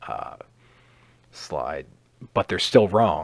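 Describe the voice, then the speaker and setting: A man's voice with vocal fry. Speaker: science educator. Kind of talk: lecture. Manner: halting.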